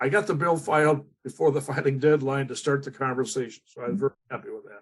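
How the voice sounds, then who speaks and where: This man's speech comes at a fairly quick pace. There is a somewhat breathy quality to it. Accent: American. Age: 80s+. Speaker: state legislator. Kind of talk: panel discussion. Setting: online forum. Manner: halting.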